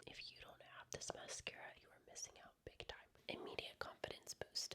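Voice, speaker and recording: A woman whispers at a moderate pace with big swings in loudness over noticeable background noise. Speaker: makeup artist / beauty creator. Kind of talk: ASMR makeup tutorial. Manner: whispered, soft-spoken.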